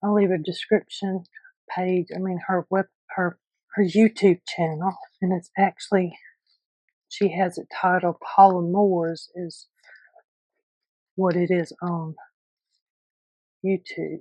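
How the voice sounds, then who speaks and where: Soft-spoken and dark, mellow in tone, a woman talks at a fairly slow pace and medium pitch with monotone, flat intonation and long, frequent pauses, in a dry, close sound with no echo. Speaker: junk journal crafter. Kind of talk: tutorial.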